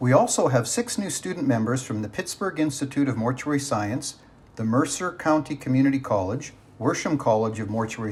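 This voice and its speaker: A man with a Canadian accent speaks in an ordinary speaking voice at a medium pitch. His pace is fairly quick and his intonation lively. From Canada, Calgary, Alberta. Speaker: funeral home owner, association president-elect, event host. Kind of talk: online awards ceremony hosting. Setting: online event.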